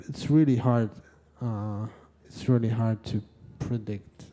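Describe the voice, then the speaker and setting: A man with a Russian accent speaks at a fairly slow pace in a medium pitch. His tone is dark and mellow, his intonation fairly even. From Russia, Yekaterinburg. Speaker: live music promoter. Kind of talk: interview. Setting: stage with audience. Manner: halting.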